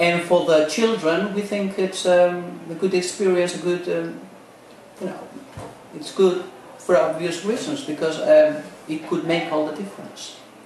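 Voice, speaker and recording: A man's high-pitched voice at a fairly slow pace, with ordinary pitch variation, big swings in loudness, audible room echo and noticeable background noise. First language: Spanish. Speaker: maths teacher. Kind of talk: interview. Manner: halting, many fillers.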